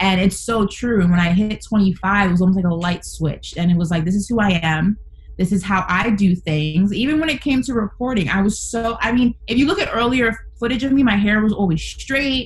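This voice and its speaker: Speaking fairly quickly with a New York accent, a woman holds a medium pitch and very even loudness. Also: lively intonation. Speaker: sports talk radio host. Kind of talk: casual chat.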